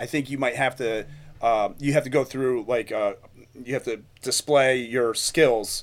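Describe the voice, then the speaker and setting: This is an ordinary speaking voice at a fairly slow pace. The intonation stays fairly even. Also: man, medium pitch for a man. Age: 40s. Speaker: podcast host, fitness coach. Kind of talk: casual interview.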